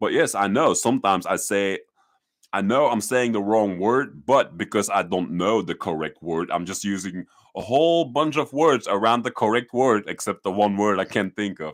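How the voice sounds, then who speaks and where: Using lively intonation, a man with a Dutch accent speaks in a fairly low pitch. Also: moderate pace, very clean recording, silent background. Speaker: YouTuber. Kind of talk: live stream talk. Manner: halting; loud.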